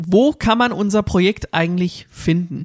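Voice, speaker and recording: At a moderate pace, a man talks with ordinary pitch variation in a dry, close sound with no echo. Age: 20s. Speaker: radio host. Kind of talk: casual chat. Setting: video call.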